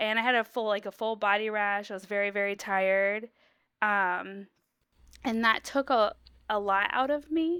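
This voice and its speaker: A woman with an American accent speaks at a moderate pace in an unremarkable speaking voice, her fairly high pitch showing ordinary variation, on a very clean recording with a silent background. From US Midwest, Ohio. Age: 30s. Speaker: patient sharing health story. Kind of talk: interview.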